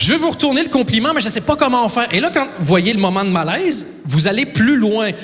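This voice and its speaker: A man's voice with very wide pitch swings, audible room echo, and noticeable background noise. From Quebec. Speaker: stand-up comedian. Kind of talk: stand-up. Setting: stage with audience.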